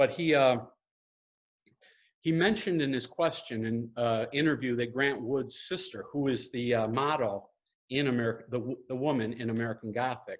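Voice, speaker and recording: Speaking with an upstate New York accent, the man has a medium pitch and ordinary pitch variation. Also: moderate pace. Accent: upstate New York accent, noticeable. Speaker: painter. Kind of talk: gallery talk and Q&A. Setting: art gallery, live stream. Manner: hesitant, many fillers.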